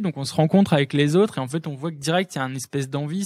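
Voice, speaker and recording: A man speaks at a very fast pace with ordinary pitch variation. The recording is very clean with a silent background and a dry, close sound with no echo. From northern France, Lille. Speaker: electronic music producer and DJ. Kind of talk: casual interview chat. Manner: fast, filler-heavy.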